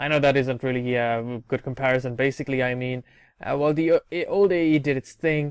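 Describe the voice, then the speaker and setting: A man talks at a medium pitch with fairly even intonation. The sound is dry and close, with no echo. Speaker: gaming video creator. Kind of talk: gameplay commentary. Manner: fast; hesitant fillers.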